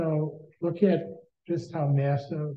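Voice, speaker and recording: A man speaks at a fairly high pitch in a somewhat breathy voice. His intonation is monotone and flat. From North Dakota. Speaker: nature photographer. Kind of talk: presentation. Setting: video call.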